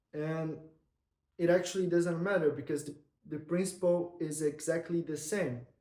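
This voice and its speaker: A high-pitched man's voice with a dark, mellow tone and a non-native accent, at a fairly slow pace. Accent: non-native English accent, noticeable. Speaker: content creator. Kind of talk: vlog-style monologue to camera. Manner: hesitant, with repetitions and false starts.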